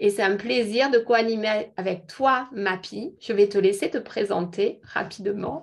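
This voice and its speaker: Against noticeable background noise, a woman with a fairly high pitch and ordinary pitch variation talks at a fairly slow pace with hardly any pauses. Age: 50s. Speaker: beauty product seller. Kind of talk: online presentation. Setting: video call.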